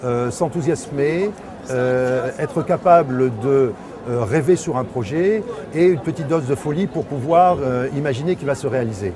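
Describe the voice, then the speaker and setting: With audible room echo and noticeable background noise, a man talks at a fairly high pitch and a fairly slow pace, his intonation lively. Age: 60s. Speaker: small agency director. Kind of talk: interview. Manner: hesitant.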